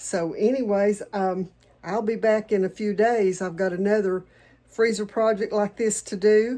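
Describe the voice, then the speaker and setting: Speaking with a Southern accent, a woman uses a medium pitch and monotone, flat intonation at a fairly slow pace. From Tennessee, US South. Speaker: home cook and homesteading channel host. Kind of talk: cooking tutorial. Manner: casual, chatty.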